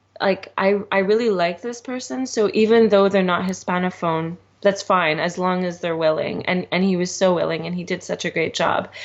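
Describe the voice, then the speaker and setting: A woman speaks at a moderate pace. Her pitch is medium for a woman. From Canada, Montreal. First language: Spanish. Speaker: podcast guest, bride. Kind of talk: casual interview chat. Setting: podcast interview. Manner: halting, many fillers.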